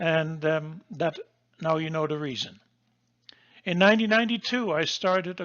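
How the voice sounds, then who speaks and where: With a Dutch accent, a man speaks at a high pitch and a moderate pace, using ordinary pitch variation. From Netherlands. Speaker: geologist and course instructor. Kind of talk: lecture. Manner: halting.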